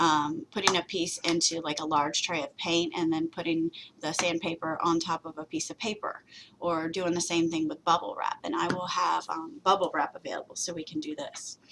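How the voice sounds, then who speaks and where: This woman has a fairly low pitch and an ordinary speaking voice. Her intonation stays fairly even at a moderate pace. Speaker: college instructor. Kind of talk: lecture. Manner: many filler words.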